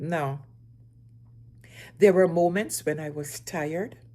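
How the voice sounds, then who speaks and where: A woman talks at a fairly slow pace with lively intonation. The recording is very clean, with a silent background. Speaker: single mother. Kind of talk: personal story talk to camera.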